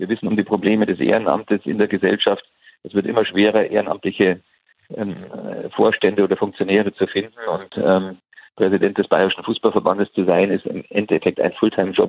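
A man with a fairly low voice talks fairly fast, keeping his intonation monotone and flat. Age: 60s. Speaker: football association president. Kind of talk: interview. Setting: phone call.

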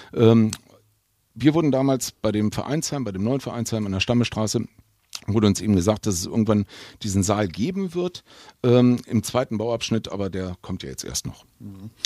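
Heard in a dry, close sound with no echo, a man speaks at a moderate pace with a fairly low pitch and a dark, mellow tone, using lively intonation, big swings in loudness and long, frequent pauses. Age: 50s. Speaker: football club heritage official. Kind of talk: casual interview. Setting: basement fan room.

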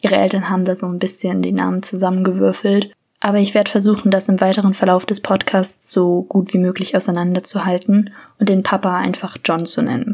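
A woman talks at a fairly quick pace at a medium pitch. Her intonation is monotone and flat. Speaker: true crime podcaster. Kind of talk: true crime storytelling.

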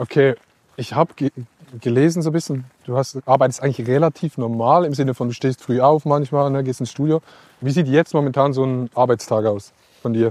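A fairly quick-paced man's voice at medium pitch, with fairly even intonation and a dry, close sound with no echo. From Switzerland. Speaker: podcast host. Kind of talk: casual chat. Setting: outdoors in vineyards.

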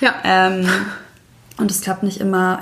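Against noticeable background noise, a woman talks at a moderate pace in a medium pitch. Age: 30s. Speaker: single mother. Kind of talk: casual interview.

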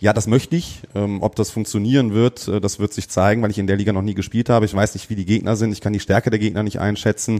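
Speaking at a very fast pace, a man has a dark, mellow tone and fairly even intonation. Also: fairly low pitch for a man, hardly any pauses. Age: 30s. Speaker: amateur footballer. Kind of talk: casual chat.

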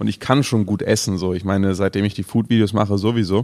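A man's fairly low voice at a very fast pace with ordinary pitch variation, on a very clean recording with a silent background. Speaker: podcast co-host and food video creator. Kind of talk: casual chat. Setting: studio.

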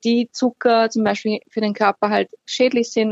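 A woman with an Austrian accent, fairly high in pitch for a woman, at a moderate pace, in a dry, close sound with no echo. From Austria, Upper Austria (Linz). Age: 30s. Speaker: healthy lifestyle blogger. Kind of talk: interview. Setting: phone call.

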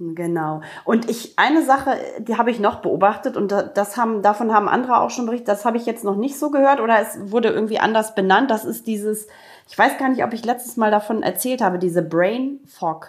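A woman talks fairly quickly in a plain, everyday voice. Her pitch is fairly high, with ordinary pitch variation. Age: 40s. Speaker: podcast co-host. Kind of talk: casual chat.

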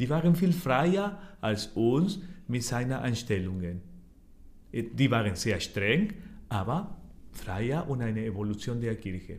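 In a Spanish accent, the speaker goes very slowly with long, frequent pauses, very wide pitch swings and a somewhat breathy voice, with audible room echo around it. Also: man, medium pitch for a man. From Argentina. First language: Spanish (speaking German). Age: 40s. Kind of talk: interview. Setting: office. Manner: halting.

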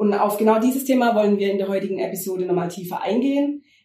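This woman's pitch is medium and varies in an ordinary way. She sounds somewhat breathy. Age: 30s. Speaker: podcast host. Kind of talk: casual interview chat.

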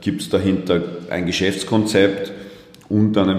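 Male speech with noticeable background noise and echo audible from the room. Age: 30s. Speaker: fintech company co-founder. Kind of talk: interview.

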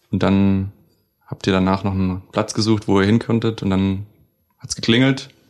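Long, frequent pauses run through this man's speech. His pace is moderate and his intonation fairly even. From southern Germany, Baden-Württemberg. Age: 20s. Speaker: trained cook, flatmate. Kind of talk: casual chat. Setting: living room of a shared flat.

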